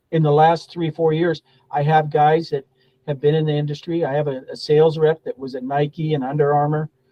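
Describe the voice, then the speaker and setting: A man's fairly high, somewhat breathy voice at a fairly quick pace, with monotone, flat intonation. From US Pacific Northwest, Spokane. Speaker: golf professional and pro shop owner. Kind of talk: interview.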